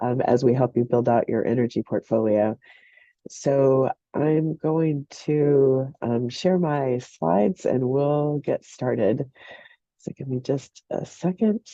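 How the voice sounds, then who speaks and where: A woman's very deep, low voice at a very slow pace, with ordinary pitch variation. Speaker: program director presenting a webinar. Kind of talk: webinar presentation.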